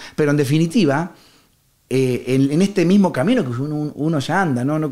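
Speaking with a Rioplatense accent, a man uses a fairly high pitch, a dark, mellow tone and lively intonation at a fairly quick pace. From Argentina, Rosario. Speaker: harmonica player. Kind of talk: casual interview.

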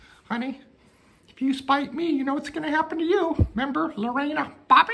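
In a cartoonish character voice, a female-sounding speaker talks at a fairly quick pace with a high pitch. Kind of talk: comic domestic sketch. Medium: puppet show. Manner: menacing in a joking way; nagging, demanding, petty.

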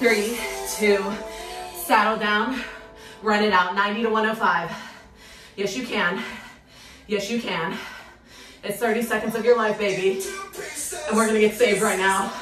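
Fairly even intonation with long, frequent pauses and clear music in the background. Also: woman, moderate pace. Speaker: cycling instructor. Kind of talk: workout coaching cues. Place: home room. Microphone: camera far.

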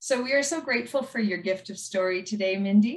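A woman of medium pitch with a somewhat breathy voice and ordinary pitch variation, over a quiet background. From Alberta, Canada. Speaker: storytelling host. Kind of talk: hosting, interview intro and outro. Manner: warm, friendly. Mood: warm and friendly. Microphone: video call.

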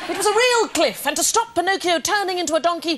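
A woman with noticeable background noise. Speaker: presenter. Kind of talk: storytelling narration. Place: studio.

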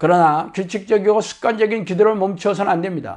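Against a quiet background, a man with a high voice talks at a moderate pace in a fairly even intonation. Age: 60s. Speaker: pastor. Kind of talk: sermon. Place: home room. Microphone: lapel.

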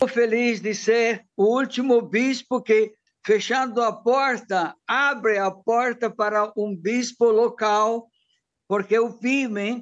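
The speaker talks at a very slow pace with fairly even intonation. The background is quiet. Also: man, extremely high pitch for a man. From Italy, Bergamo; Italy. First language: Italian (speaking Portuguese). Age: 70s. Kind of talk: news interview. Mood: happy, warm. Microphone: phone near.

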